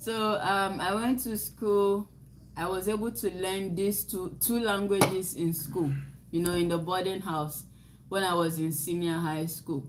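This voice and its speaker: Amid noticeable background noise and audible room echo, a woman speaks at a fairly slow pace with ordinary pitch variation. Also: medium pitch for a woman. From Ghana. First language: Nzema. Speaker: livestream co-host. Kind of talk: casual chat.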